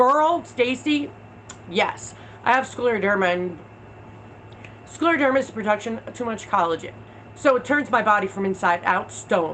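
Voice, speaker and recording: A woman speaks with an American accent and a fairly high pitch. Her intonation is lively, broken by long, frequent pauses. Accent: New York accent, subdued since moving. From New York, Long Island. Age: 30s. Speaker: video creator. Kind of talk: livestream chat. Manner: fast, rapid fire.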